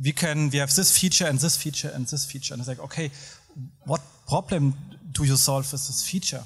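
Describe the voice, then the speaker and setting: Over music in the background, someone with a Hessian German accent speaks at a fairly quick pace with fairly even intonation. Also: man, fairly high pitch for a man. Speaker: agency professional. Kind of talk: panel discussion.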